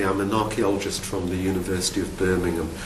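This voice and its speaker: There is noticeable background noise and audible room echo. Through it, a man speaks with a Geordie accent. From northern England, Newcastle upon Tyne. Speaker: archaeologist, university academic. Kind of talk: recorded talk about his career. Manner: halting, with repeated words and fillers.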